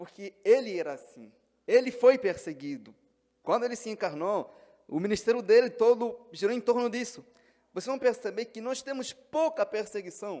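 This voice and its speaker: A man with an Angolan accent, extremely high pitch, ordinary pitch variation and a dark, mellow tone, at a moderate pace with big swings in loudness. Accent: Angolan Portuguese, noticeable. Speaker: pastor. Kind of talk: sermon.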